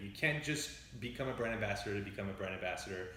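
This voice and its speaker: A man with a slight French Canadian accent is heard through noticeable background noise and audible room echo. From Quebec, Montreal. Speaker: whisky brand educator. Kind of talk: interview on live stream tasting.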